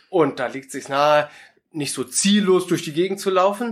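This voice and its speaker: In a normal speaking voice, a man talks with lively intonation at a fairly high pitch. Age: 30s. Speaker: pastor. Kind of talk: interview.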